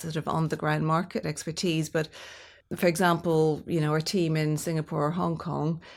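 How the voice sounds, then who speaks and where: Speaking with a Dublin accent, a woman uses a fairly low pitch at a fairly quick pace. The recording is very clean, with a silent background. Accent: Irish, Dublin. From Ireland. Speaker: PR agency executive. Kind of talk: podcast panel discussion.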